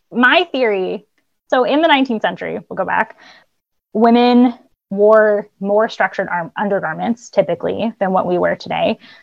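A woman with an American accent speaks in a normal speaking voice at a moderate pace. Her pitch is fairly high and her intonation lively. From Boston area, US. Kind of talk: casual interview.

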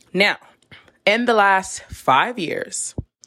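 A woman's bright, sharp voice at a medium pitch, very slow, with an American accent, in a dry, close sound with no echo. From US, New York City. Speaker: podcast host. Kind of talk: candid solo monologue.

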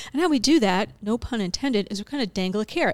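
With a plain, everyday voice, a woman speaks at a moderate pace in a fairly high pitch with lively intonation, on a very clean recording with a silent background and a dry, close sound with no echo. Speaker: food bank nonprofit representative. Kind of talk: casual interview chat.

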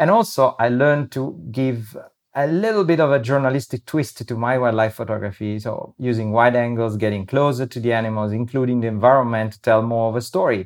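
Fairly quick delivery in an Italian accent, with hardly any pauses and a quiet background. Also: man, medium pitch for a man, ordinary pitch variation. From Italy, Rome. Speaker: wildlife photographer. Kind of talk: interview conversation. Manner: halting.

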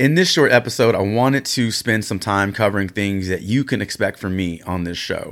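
At a moderate pace, a man speaks in a fairly low pitch with an animated tone. His pitch variation is ordinary, and the recording is very clean with a silent background. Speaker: podcast host. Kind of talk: solo podcast monologue. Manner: loud.

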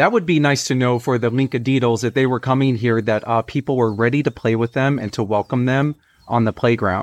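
A man talks at medium pitch and a fairly quick pace in a plain, everyday voice, with ordinary pitch variation and very even loudness. The sound is dry and close with no echo, against a quiet background. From Texas. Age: 40s. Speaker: podcast host and teacher. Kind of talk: casual chat with children, guided imaginary journey. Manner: warm, encouraging.

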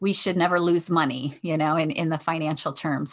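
A woman with a Michigan accent speaks in a fairly low voice. The background is quiet. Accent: Michigan (Inland North) American. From Michigan, west side of Detroit. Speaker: veterinarian and life coach. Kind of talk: interview.

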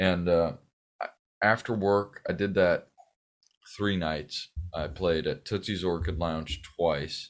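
In a very clean recording with a silent background, a man with an American accent speaks very slowly in a very deep, low pitch and fairly even intonation. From Southern California. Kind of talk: interview. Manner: halting, with many fillers.

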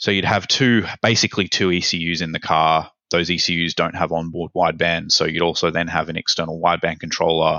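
An Australian man speaks with a very deep, low pitch at a fairly quick pace. He hardly pauses at all, and he speaks with an Australian accent. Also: fairly even intonation. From Australia, Sydney. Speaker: ECU tech support specialist. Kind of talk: interview.

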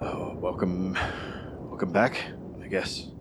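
A raspy, put-on character voice from a man, very deep and low in pitch. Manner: hesitant, somber.

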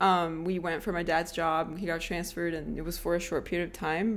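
A woman speaks with a Portuguese accent at a moderate pace. Her pitch is fairly low, and her intonation is fairly even. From southern Brazil. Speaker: podcast co-host, architect. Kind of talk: casual chat. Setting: small apartment.

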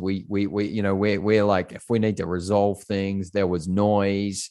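A man with an Australian accent talks at a fairly slow pace and a fairly low pitch. His intonation is monotone and flat, over a quiet background. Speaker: pastor and corporate coach. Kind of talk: casual interview. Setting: remote call.

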